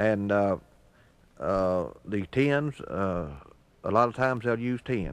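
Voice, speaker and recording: A man with an American accent at a very slow pace, long and frequent pauses, fairly low pitch, ordinary pitch variation, and a quiet background. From Arkansas, USA. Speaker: auctioneer and auctioneering instructor. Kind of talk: instructional talk to students. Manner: relaxed, conversational.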